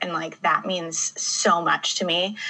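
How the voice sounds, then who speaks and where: Over noticeable background noise, a woman talks very slowly at a medium pitch. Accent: American. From Michigan. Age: 30s. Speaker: poet and author. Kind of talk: casual interview chat.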